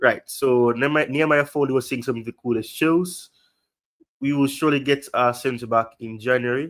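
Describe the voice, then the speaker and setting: A man speaks with a strong Jamaican accent at a medium pitch. His pace is moderate and his intonation fairly even. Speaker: football livestream host. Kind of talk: casual livestream chat. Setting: livestream.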